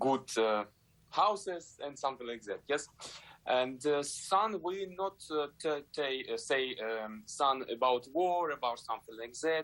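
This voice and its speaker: Fairly high in pitch, a man with a Ukrainian accent speaks at a fairly slow pace with lively intonation. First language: Ukrainian or Russian. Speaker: ballet dancer. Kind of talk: interview. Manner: halting, many fillers.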